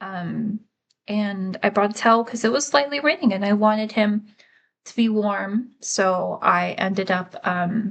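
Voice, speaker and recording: Speaking at a fairly slow pace, a woman uses a medium pitch, a somewhat breathy voice and ordinary pitch variation. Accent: American. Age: 30s. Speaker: vlogger. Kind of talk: casual vlog monologue. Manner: halting, many fillers.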